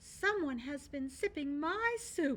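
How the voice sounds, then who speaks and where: A female-sounding, put-on character voice pitched high talks at a fairly slow pace. Light background noise is audible. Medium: read story.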